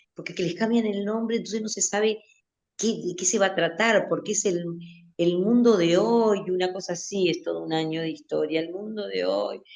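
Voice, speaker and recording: A woman speaks at a fairly quick pace. Vocal fry runs through her voice. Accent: Uruguayan. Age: 60s. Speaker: literature teacher. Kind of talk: interview. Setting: radio interview, remote studio. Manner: halting, many fillers and restarts.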